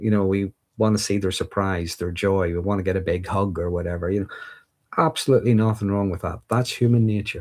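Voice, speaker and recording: With a Northern Irish accent, a man speaks at a fairly quick pace and a fairly low pitch in a very clean recording with a silent background. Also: ordinary pitch variation. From Northern Ireland. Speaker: livestreamer discussing mental health and insecurities. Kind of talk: live stream Q&A reading viewer comments. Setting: livestream. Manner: casual, with fillers and restarts.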